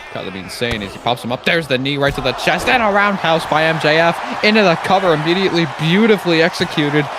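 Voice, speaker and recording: The speech runs at a very fast pace over noticeable background noise. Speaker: wrestling commentator. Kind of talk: live commentary. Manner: animated.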